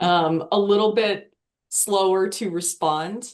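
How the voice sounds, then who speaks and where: A woman speaks in an ordinary speaking voice. Her pitch is medium, with ordinary pitch variation. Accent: American. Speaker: legal tech product marketer. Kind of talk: webinar panel discussion.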